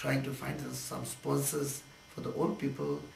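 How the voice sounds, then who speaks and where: With audible room echo and noticeable background noise, a man's speech proceeds at a moderate pace. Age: 60s. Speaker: charity project organizer. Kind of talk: interview. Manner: halting.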